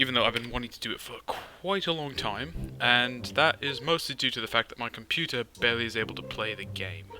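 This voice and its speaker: A man speaks at a medium pitch with lively intonation, hardly pausing, his loudness swinging widely over background music. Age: young. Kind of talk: casual gaming commentary.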